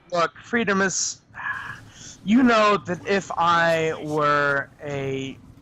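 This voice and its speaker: High-pitched man at a very slow pace, lively intonation, noticeable background noise. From Quebec. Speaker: gaming stream co-player. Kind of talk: casual chat. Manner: animated.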